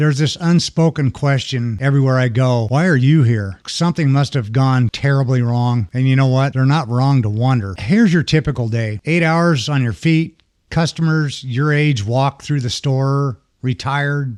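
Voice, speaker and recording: A man with a normal speaking voice talks at a moderate pace, medium in pitch, with ordinary pitch variation and hardly any pauses. His loudness stays very even against a quiet background. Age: 60s. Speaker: retail worker and video creator. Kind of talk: personal vlog monologue. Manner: conversational, with small stumbles and restarts.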